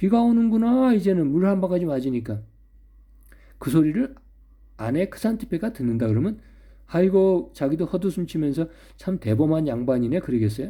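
A man talks fairly quickly in a high pitch with a dark, mellow tone and very wide pitch swings, leaving long, frequent pauses. The recording is very clean, with a silent background. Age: old. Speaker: philosophy YouTuber. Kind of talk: solo monologue lecture. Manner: conversational, hesitant fillers.

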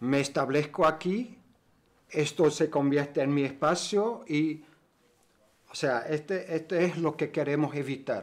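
The man talks at a fairly high pitch with ordinary pitch variation. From Germany. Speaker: cooperative member; interviewee. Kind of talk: interview. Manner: halting. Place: meeting room.

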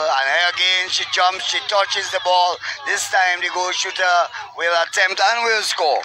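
Over music in the background, a man speaks at a high pitch in a dry sound with no echo. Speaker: sports commentator. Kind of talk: commentary.

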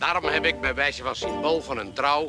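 A man talks at a very slow pace. The sound is dry with no echo, and clear music plays in the background. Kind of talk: acted comic party speech. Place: garden.

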